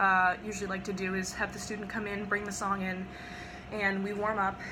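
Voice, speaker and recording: A woman's medium-pitched voice in a monotone, flat intonation, with audible room echo. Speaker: voice teacher. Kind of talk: tutorial.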